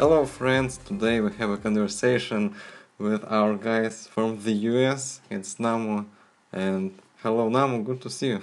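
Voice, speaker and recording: A man with a Russian accent talks with fairly even intonation. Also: medium pitch for a man, moderate pace. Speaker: podcast host. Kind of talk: casual interview.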